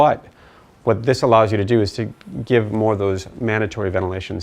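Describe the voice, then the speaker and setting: A man talks at a fairly quick pace with an American accent. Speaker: physician teaching ventilation. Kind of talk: lecture. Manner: fast.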